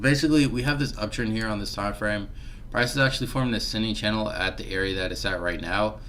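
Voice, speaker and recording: A man talks at a very fast pace in a fairly low pitch with ordinary pitch variation. Noticeable background noise and audible room echo surround him. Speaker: forex trader and trading educator. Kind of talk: live-stream market analysis tutorial. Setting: live stream with background music. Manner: casual, filler-heavy; mumbling.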